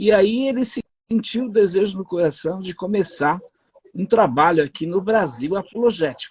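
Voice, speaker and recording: A man's high-pitched voice with lively intonation, at a moderate pace, in a dry, close sound with no echo. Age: 60s. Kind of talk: interview.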